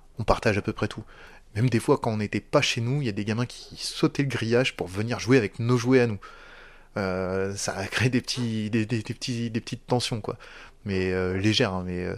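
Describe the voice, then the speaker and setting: Fairly even intonation is heard against a quiet background. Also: man, medium pitch for a man. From northern France, Picardy. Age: 40s. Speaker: former prisoner. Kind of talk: testimony. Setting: at home. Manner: fast.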